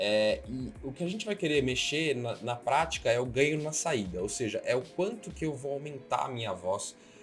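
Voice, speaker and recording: A man's medium-pitched voice at a moderate pace, with very wide pitch swings, hardly any pauses, and music in the background. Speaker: streamer and tech tutorial youtuber. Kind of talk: tutorial.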